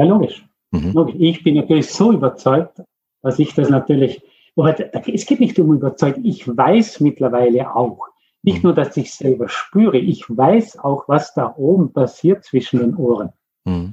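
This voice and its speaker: A man's somewhat breathy, fairly high voice at a moderate pace, with very wide pitch swings. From Austria. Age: 50s. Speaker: mindfulness coach for athletes. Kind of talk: interview. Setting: remote call.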